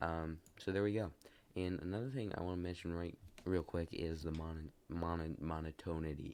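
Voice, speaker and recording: A man talks at a fairly quick pace. His pitch is very deep and low. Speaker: gaming video creator. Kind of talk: let's play commentary. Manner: monotone; hesitant, many fillers.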